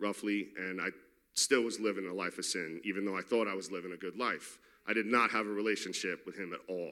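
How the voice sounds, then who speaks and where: The voice has a New York accent and a bright, sharp tone. It moves at a fairly quick pace with fairly even intonation. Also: man. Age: 30s. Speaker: recovering addict in a faith-based program. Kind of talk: testimony. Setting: church. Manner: casual and unscripted.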